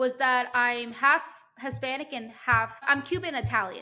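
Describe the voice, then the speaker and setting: A woman speaks in an animated tone at a high pitch. Her voice is raised and projected. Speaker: podcast host. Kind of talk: casual chat. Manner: fast.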